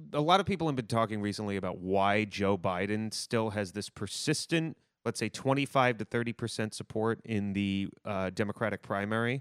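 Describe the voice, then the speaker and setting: This is an unremarkable speaking voice from a man, fairly low in pitch with ordinary pitch variation. He speaks at a fairly quick pace, and the sound is dry and close with no echo. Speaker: journalist. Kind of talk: casual chat.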